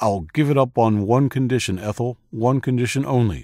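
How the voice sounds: On a very clean recording with a silent background, a man does a put-on character voice at a medium pitch, a moderate pace and with ordinary pitch variation.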